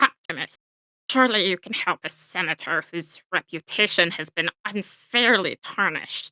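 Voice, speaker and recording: This female-sounding voice is a put-on character voice at a medium pitch for a woman. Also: moderate pace. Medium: read story.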